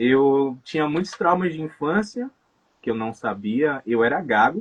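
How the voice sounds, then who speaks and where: A man with an ordinary speaking voice talks at a fairly slow pace, his fairly high pitch carrying lively intonation. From Salvador, Bahia, Brazil. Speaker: tattoo artist and hypnotherapist. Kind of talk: casual interview chat.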